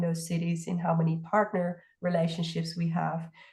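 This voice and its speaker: This woman has a fairly low, somewhat breathy voice. She talks at a moderate pace. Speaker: partnerships team staff. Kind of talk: info session Q&A.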